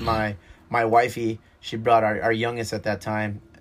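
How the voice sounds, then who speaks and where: A man talks at a medium pitch. Behind him, music plays in the background. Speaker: bar owner and brewery owner. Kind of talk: casual chat. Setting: on location in a dive bar.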